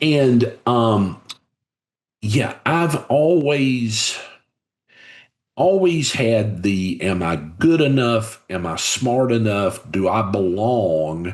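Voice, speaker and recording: With a Southern US accent, a man at medium pitch speaks at a very slow pace, his pitch swinging very widely. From US South, Covington, Georgia. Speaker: business leader and author. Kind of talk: podcast interview.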